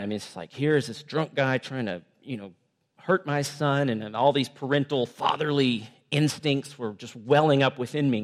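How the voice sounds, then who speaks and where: Using an unremarkable speaking voice, a man talks at a moderate pace with a fairly high pitch and ordinary pitch variation, his loudness swinging widely. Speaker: visiting preacher and missions worker. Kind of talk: sermon. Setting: church.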